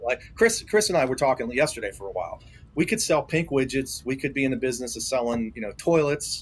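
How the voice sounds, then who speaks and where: A man speaks very fast with a fairly high pitch and very wide pitch swings, over noticeable background noise. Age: 60s. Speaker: motorcycle dealership owner. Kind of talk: podcast interview. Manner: halting.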